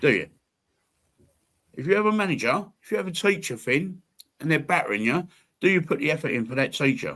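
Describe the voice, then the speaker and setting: A man's fairly high-pitched voice with vocal fry and a bright, sharp tone, very wide pitch swings, a fairly quick pace and long, frequent pauses, on a very clean recording with a silent background. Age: 60s. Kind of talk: casual chat. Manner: animated.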